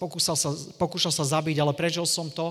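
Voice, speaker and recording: A man speaks at a fairly quick pace in a fairly high pitch. His tone is animated. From eastern Slovakia, Košice. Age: 40s. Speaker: evangelist preacher. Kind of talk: sermon; testimony.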